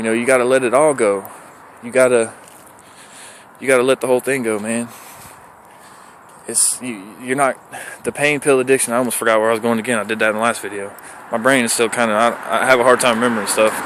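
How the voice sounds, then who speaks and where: Over noticeable background noise, a medium-pitched man talks at a very fast pace yet leaves long, frequent pauses. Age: 30s. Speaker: recovering addict vlogger. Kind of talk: personal testimony vlog. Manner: animated.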